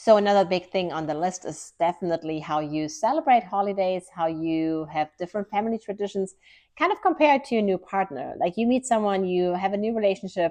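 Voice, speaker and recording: Against a quiet background, a woman with a German accent speaks at a fairly quick pace with hardly any pauses, her medium-pitched voice dark and mellow and her intonation lively. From Germany. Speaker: lifestyle vlogger. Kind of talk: casual vlog talk to camera.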